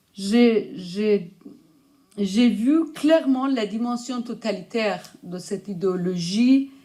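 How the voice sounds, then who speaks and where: In a Persian accent, a woman talks at a medium pitch with ordinary pitch variation. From Iran. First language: Persian (speaking French). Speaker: writer and researcher, conference speaker. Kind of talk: lecture. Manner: halting.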